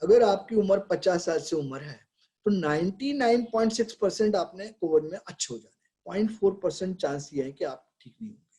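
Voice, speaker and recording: A man's high-pitched voice with a dark, mellow tone, lively intonation and big swings in loudness. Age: 70s. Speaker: pediatrician. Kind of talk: webinar talk. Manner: conversational.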